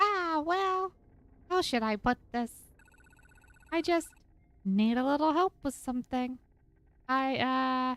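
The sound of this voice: In a squeaky, put-on character voice, a woman speaks high-pitched at a fairly slow pace, leaving long, frequent pauses.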